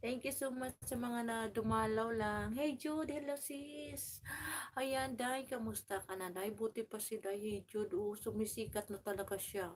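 The woman's voice is fairly high in pitch, with ordinary variation. She speaks at a fairly slow pace. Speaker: vlogger. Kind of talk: live stream chat. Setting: home. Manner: loud; animated.

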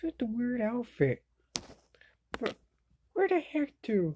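A woman speaks slowly in a cartoonish character voice, her pitch fairly high and swinging widely. Her tone is dark and mellow with a slightly husky edge.

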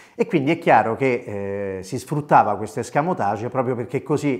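A man talks at a very fast pace. His pitch varies in an ordinary way over a quiet background. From Italy, Rome. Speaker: voice actor. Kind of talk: storytelling monologue. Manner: animated. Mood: warm, nostalgic. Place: home room. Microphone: lapel.

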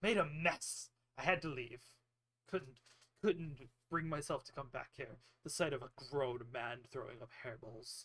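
A man's put-on character voice at medium pitch and a moderate pace, broken by long, frequent pauses. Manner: brusque, impatient.

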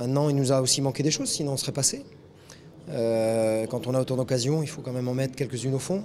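Male voice with ordinary pitch variation over light background noise. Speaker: football coach. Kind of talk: interview answer. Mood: disappointed but composed. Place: stadium. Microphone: handheld.

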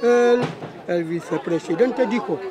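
A man speaks with lively intonation through noticeable background noise. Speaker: interviewed local resident. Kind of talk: interview answer. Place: street.

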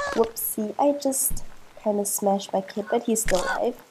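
Somewhat breathy and dark, mellow in tone, a woman speaks at a fairly slow pace with ordinary pitch variation. Light background noise is present. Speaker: gaming youtuber. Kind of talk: let's play commentary. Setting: facecam recording. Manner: animated. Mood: relaxed, playful. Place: home room. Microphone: webcam.

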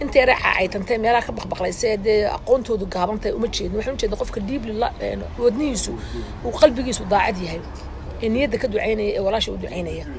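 A woman talks at a very fast pace in a medium pitch with ordinary pitch variation, and clear background noise is audible.

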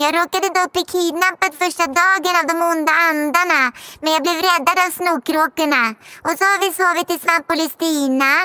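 The put-on character voice sits at an extremely high pitch. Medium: audio drama. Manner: cheeky, playful.

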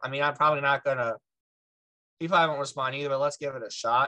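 Over a quiet background, a man speaks in monotone, flat intonation with a bright, sharp tone. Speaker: podcast guest. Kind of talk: interview answer. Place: home room. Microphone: video call.

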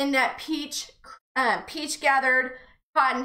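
A woman raises and projects her voice with a bright, sharp tone, speaking at a fairly slow pace. There is audible room echo over a quiet background. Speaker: shop host. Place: studio.

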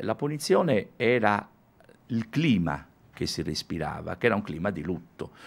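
Using long, frequent pauses, a man talks at a moderate pace with a fairly low pitch and very wide pitch swings. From Sardinia, Alghero; Sardinia. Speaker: musician and music teacher; music teacher. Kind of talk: radio interview. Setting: radio studio, also televised. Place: studio. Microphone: studio mic.

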